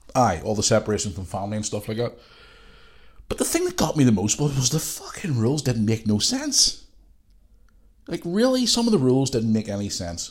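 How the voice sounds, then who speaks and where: Somewhat breathy and with very wide pitch swings, a man with a Northern Irish accent talks at a fairly quick pace. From Northern Ireland. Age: 40s. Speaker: podcast host. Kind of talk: casual monologue. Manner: blunt and profane.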